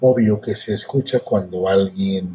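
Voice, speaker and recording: A man with a Mexican accent, somewhat breathy, dark and mellow in tone, with ordinary pitch variation and a fairly slow pace. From Mexico, hot region. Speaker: podcast host and storyteller. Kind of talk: personal storytelling. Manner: halting.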